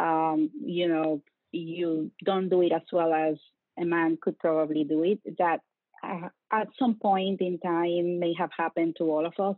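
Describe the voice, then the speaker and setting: A woman's fairly low-pitched voice in a Latin American accent, with fairly even intonation at a fairly slow pace. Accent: noticeable Latin American Spanish. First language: Spanish. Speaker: bank security executive. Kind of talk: interview. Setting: video call.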